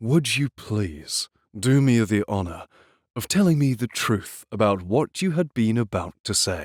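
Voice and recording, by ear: With lively intonation, someone reads aloud in a natural voice against a quiet background.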